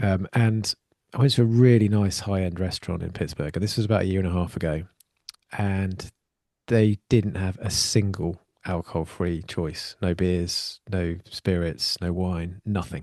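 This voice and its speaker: The sound is dry and close, with no echo. The tone is dark and mellow, with fairly even intonation. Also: man, very deep, low pitch for a man. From UK. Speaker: podcast host. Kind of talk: podcast interview. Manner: fast.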